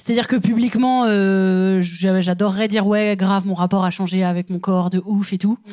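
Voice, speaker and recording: An ordinary speaking voice from a woman, medium in pitch, at a moderate pace with fairly even intonation. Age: 30s. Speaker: comedian. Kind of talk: casual chat. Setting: stage with audience.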